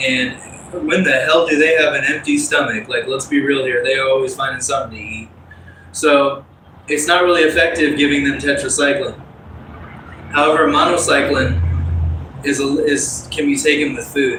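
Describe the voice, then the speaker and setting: With long, frequent pauses, a man speaks in a fairly high pitch and fairly even intonation, with audible room echo and noticeable background noise. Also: moderate pace. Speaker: fitness livestreamer. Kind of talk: casual livestream talk while exercising.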